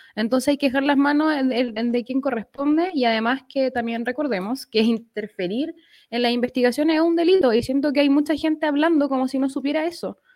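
The speaker talks at a fairly quick pace with a Chilean accent and hardly any pauses. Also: woman, high pitch for a woman, ordinary pitch variation. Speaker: lawyer. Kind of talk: casual chat.

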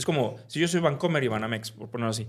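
A man's unremarkable speaking voice with lively intonation. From Mexico, Veracruz port. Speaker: fintech company CEO. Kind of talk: interview.

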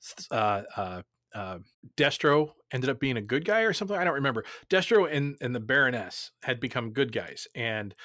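A man's normal speaking voice with an American accent, moderate pace, and a very clean recording with a silent background. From New Jersey. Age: 40s. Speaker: podcast host. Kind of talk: casual chat.

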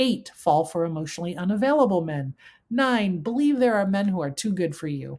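In a very clean recording with a silent background, a woman with a fairly low pitch talks at a fairly quick pace, her pitch swinging very widely. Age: 50s. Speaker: podcast host. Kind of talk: solo podcast monologue. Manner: halting.

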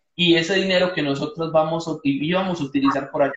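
A man's monotone, flat intonation. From Costa Rica. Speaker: podcast host. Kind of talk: casual interview. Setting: Instagram live video call.

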